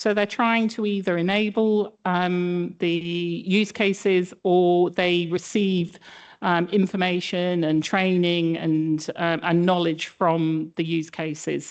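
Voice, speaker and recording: Against a quiet background, a woman with a British accent speaks at a very slow pace with hardly any pauses, her pitch fairly low, her intonation fairly even and her loudness very even. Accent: British accent noticeable. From UK. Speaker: statistician presenting a project. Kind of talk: conference presentation. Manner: hesitant, many fillers.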